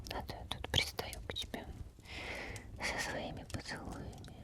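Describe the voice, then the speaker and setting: With noticeable background noise behind it, the speech is whispered at a fairly slow pace. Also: woman. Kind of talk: ASMR girlfriend roleplay. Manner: whispered, soft.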